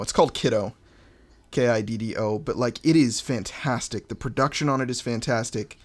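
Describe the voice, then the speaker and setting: A man with an unremarkable speaking voice keeps a medium pitch, a moderate pace and ordinary pitch variation. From Montana, US. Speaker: rapper. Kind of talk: casual chat.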